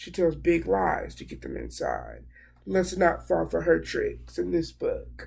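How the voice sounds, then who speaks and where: A put-on character voice, raspy and pitched very deep and low. The pace is fairly slow. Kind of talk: classroom read-aloud. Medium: read story. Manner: warm, encouraging, stops to explain.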